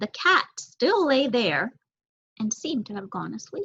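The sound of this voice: A woman speaks at a fairly slow pace in a fairly high, fairly bright voice with a slightly husky edge and big pitch swings.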